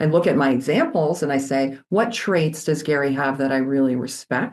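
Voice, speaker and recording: Loud and at a fairly quick pace, a woman speaks. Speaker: company CEO. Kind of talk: interview. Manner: loud and energetic; animated.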